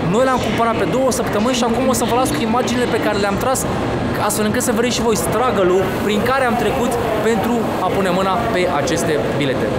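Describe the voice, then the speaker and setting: A man rattles along at a very fast pace, his pitch varying in an ordinary way, with loud background noise behind him. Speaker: travel vlogger. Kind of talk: casual vlog chat. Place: station. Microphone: phone near.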